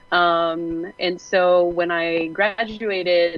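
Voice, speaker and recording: Music plays behind a woman with a Quebec accent who speaks at a fairly low pitch in a monotone, flat delivery. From Quebec, rural. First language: French. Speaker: game industry co-founder, panelist. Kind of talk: panel discussion.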